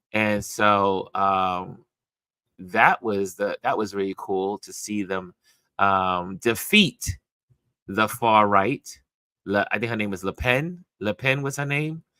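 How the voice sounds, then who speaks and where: A man's fairly low voice, bright and sharp in tone, at a very slow pace with ordinary pitch variation and a dry, close sound with no echo. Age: 60s. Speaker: livestream host and photographer. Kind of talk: casual livestream chat. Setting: live stream from home. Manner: halting, many fillers. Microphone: slight echo from open windows.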